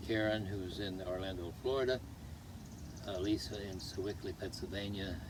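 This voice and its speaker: Somewhat breathy and fairly low-pitched, a man speaks at a moderate pace with fairly even intonation amid audible room echo. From US, Washington DC. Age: 80s+. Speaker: retired gardener. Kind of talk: casual interview.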